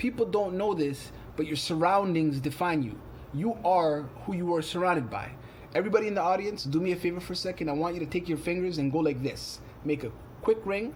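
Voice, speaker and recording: Audible room echo surrounds a man with a high voice who speaks at a fairly quick pace with ordinary pitch variation. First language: not English; English is third language. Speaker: poet and community arts organizer. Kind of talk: conference presentation.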